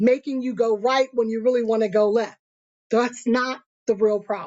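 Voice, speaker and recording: A woman with a plain, everyday voice, fairly high in pitch, with ordinary pitch variation and a fairly slow pace. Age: 50s. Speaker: motivational YouTuber and author. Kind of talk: casual motivational talk to camera.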